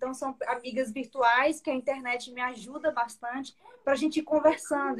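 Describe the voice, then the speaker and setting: Speech moves at a moderate pace. Its intonation is fairly even. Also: woman. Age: 30s. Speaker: vascular surgeon and mother. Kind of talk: casual chat. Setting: live video stream.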